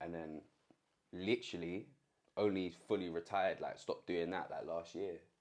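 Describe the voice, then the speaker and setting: This man's pitch is very deep and low, and his intonation stays flat and monotone. He leaves long, frequent pauses. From London. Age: 20s. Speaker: musician and former dancer. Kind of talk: casual interview. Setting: recording studio. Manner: chatty, fast.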